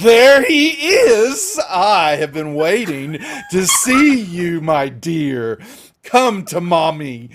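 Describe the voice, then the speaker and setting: A man speaks in a put-on character voice at high pitch with very wide pitch swings. His pace is very slow. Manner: sweetly coaxing.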